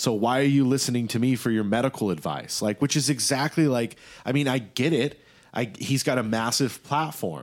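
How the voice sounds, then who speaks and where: An ordinary speaking voice from a man, at a moderate pace with ordinary pitch variation and very even loudness. The recording is very clean, with a silent background. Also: medium pitch for a man. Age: 20s. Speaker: podcast host. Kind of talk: casual chat.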